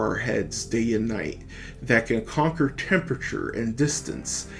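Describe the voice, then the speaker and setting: With an American accent, a man speaks with ordinary pitch variation. Music plays in the background. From United States. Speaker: podcast host. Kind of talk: political essay reading.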